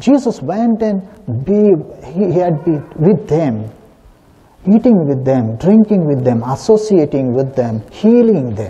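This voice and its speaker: A very slow pace with very wide pitch swings. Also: man. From southern India. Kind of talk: sermon. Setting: church. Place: church.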